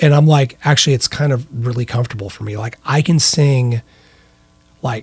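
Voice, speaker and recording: Music plays in the background as a man with an American accent talks. His pitch is medium and his pace moderate. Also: ordinary pitch variation. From US Midwest, central western Illinois. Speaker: rock singer and guitarist. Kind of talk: casual chat.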